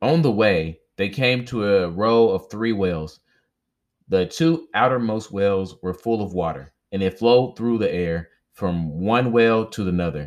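A man with an unremarkable speaking voice talks at a fairly slow pace with lively intonation on a very clean recording with a silent background. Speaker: audiobook-style reader and podcaster. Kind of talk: reading aloud a myth, mythic folk-tale narration. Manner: casual, chatty, friendly asides; measured storyteller pacing, stumbling over names.

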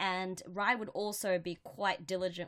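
On a very clean recording with a silent background, a woman speaks. She has an Australian accent and a medium pitch. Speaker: podcast co-host. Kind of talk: casual chat. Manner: loud.

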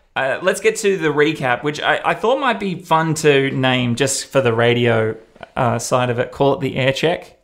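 With a slight Australian accent, a man speaks at a moderate pace in a fairly high pitch with lively intonation. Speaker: radio presenter and podcast host. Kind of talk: casual chat, podcast recap.

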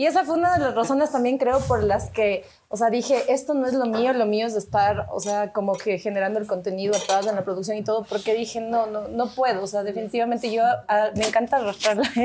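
With a dark, mellow tone and a fairly high pitch, a woman talks at a fairly quick pace with hardly any pauses and ordinary pitch variation. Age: 30s. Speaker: executive producer. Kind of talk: casual chat.

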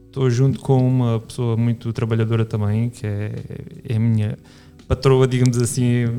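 At a fairly quick pace, a man speaks at a medium pitch in a monotone, flat intonation. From Portugal, Alentejo (Reguengos de Monsaraz). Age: 30s. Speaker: photographer. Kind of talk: casual chat.

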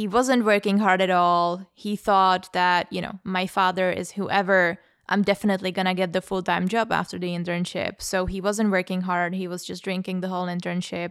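In a very clean recording with a silent background, a woman speaks at medium pitch and a moderate pace in a flat monotone with hardly any pauses. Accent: Czech. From Czech Republic, Prague. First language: Czech. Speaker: podcast host. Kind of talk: casual discussion.

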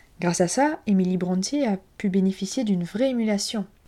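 In a French accent, a woman speaks at a medium pitch with a dark, mellow tone. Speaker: literature podcast host. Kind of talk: scripted book review monologue. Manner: hesitant, with fillers.

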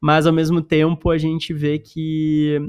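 The speaker is a man with a Gaúcho Brazilian accent. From Porto Alegre, Brazil. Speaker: podcast host. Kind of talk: casual interview chat.

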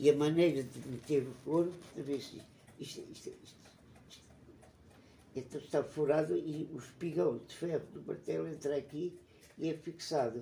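With vocal fry and a dark, mellow tone, a man speaks at a fairly high pitch and moderate pace, with ordinary pitch variation, long, frequent pauses and big swings in loudness. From Portugal, Alentejo (Évora). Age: 90s. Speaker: retired geology professor. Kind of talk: interview. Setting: at his home. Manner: halting, with repetitions.

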